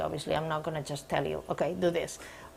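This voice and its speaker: A woman is speaking. She has a Spanish accent. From Spain. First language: Spanish or Catalan. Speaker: sport psychologist. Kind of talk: demonstration counseling session. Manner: hesitant, many fillers.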